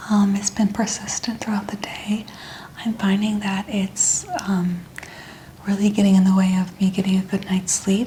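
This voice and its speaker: Noticeable background noise sits behind a woman speaking at a moderate pace. Her medium-pitched voice has monotone, flat intonation. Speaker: ASMR model in a roleplay, playing a chiropractic patient. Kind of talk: ASMR roleplay patient answering the practitioner.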